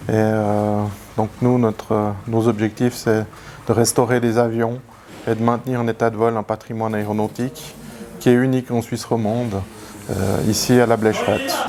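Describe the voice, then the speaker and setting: Over noticeable background noise, a man with a medium pitch talks at a moderate pace in a monotone, flat intonation, with long, frequent pauses. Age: 40s. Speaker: aviation heritage association president. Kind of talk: interview. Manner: halting.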